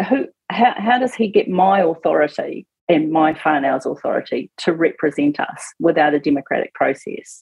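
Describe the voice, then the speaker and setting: A moderate pace carries the speech. The accent is New Zealand. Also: woman. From New Zealand, Auckland. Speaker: political campaign spokesperson, former police detective. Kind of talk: radio interview. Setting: radio studio.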